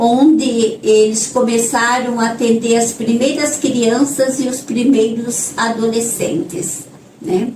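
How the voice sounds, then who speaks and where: A very slow speaker with ordinary pitch variation. The room echo is audible and background noise is noticeable. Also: woman, fairly high pitch for a woman. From northern Paraná, Brazil. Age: 60s. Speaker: nun, social project leader. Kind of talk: interview. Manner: halting, with filler words.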